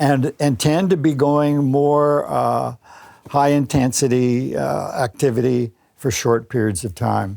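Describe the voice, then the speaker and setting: A man's dark, mellow, medium-pitched voice with a Canadian accent, at a very slow pace. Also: ordinary pitch variation. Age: 90s. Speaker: sports medicine doctor, former Olympic athlete. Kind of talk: interview answer. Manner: lively, opinionated.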